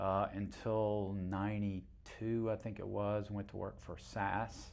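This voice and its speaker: Very slow, monotone, flat delivery from a man with a fairly low pitch, plus audible room echo. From North Carolina (Cary/Raleigh area), partly rural Georgia. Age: 70s. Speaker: mayor. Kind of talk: interview. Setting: in-person at town hall.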